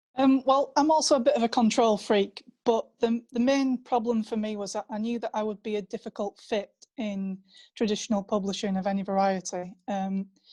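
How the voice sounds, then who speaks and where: Against a quiet background, a woman speaks with a Yorkshire accent. Her pitch is fairly high with ordinary variation, and her pace fairly quick. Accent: northern English, Yorkshire. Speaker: author. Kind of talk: panel discussion.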